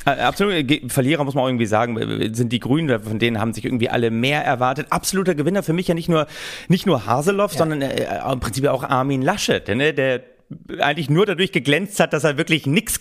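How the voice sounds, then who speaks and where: A man with a fairly high pitch talks at a fairly quick pace, his intonation lively. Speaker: podcast co-host. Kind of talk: satirical casual chat.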